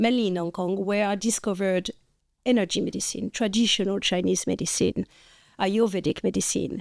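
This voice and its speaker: With a French accent, a woman speaks at a fairly quick pace and medium pitch. Her intonation is fairly even, and the recording is very clean with a silent background. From France. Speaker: podcast co-host, functional nutritionist. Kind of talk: casual chat.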